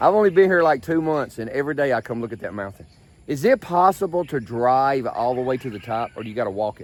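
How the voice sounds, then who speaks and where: Talking at a very fast pace with a Memphis accent, a man at medium pitch uses lively intonation and big swings in loudness. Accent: Southern US (Memphis). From US South, Memphis. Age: 60s. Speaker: travel vlogger. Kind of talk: casual vlog chat. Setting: outdoors, walking in the street. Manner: animated.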